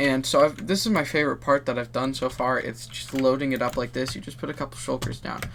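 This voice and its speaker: Noticeable background noise sits behind a man's voice. He talks at a very fast pace with ordinary pitch variation. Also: medium pitch for a man, hardly any pauses. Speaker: Minecraft gaming YouTuber. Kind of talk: gameplay commentary. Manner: casual, rambling.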